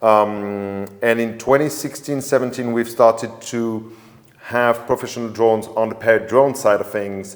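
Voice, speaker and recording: A man talks with a French accent at a moderate pace. His intonation stays fairly even. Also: medium pitch for a man. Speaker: drone company sales manager. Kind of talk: webinar conversation. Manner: halting.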